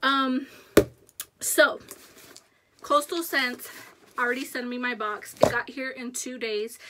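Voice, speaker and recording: Her voice is high for a woman, and she talks at a fairly slow pace. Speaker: beauty YouTuber. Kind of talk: casual haul video talk. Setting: home makeup room. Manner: soft, hushed.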